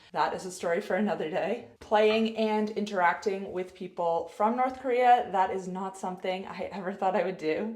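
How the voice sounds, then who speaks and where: A woman speaks at a moderate pace with medium pitch and ordinary pitch variation, barely pausing. Noticeable background noise is present. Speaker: health coach and ice hockey player. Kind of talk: casual vlog monologue.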